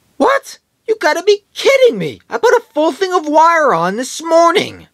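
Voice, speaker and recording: A man's cartoonish character voice at an extremely high pitch and a moderate pace. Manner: angry, exasperated, shouting.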